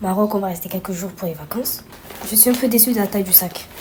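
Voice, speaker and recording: A woman talks at a very fast pace and medium pitch. Noticeable background noise runs underneath. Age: 20s. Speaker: vlogger. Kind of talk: casual vlog talk to camera. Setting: at home.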